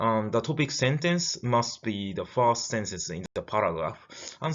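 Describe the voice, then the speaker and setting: Speaking at a fairly slow pace with lively intonation, this voice carries a Japanese accent over noticeable background noise. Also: man. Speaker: lecturer. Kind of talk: lecture. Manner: halting, many fillers.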